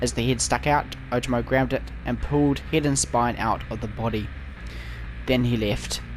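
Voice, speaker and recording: Noticeable background noise behind a man talking at a moderate pace. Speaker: gaming YouTuber. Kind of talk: reading aloud; casual chat. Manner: halting.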